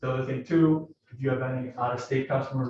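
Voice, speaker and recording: A man speaks at a medium pitch with monotone, flat intonation. His voice is somewhat breathy. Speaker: mortgage lender. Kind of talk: business presentation. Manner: fast.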